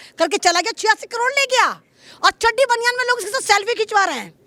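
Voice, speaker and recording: A woman speaks in a raised, projected voice with a bright, sharp tone. Her delivery is animated, and the sound is dry and close with no echo. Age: old. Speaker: interviewee, comic commentator. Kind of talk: comic interview.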